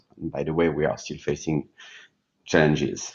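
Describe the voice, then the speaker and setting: A man with a French accent at a moderate pace. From France. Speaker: session moderator, corporate risk manager. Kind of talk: conference panel moderation. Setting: live online workshop at a seminar.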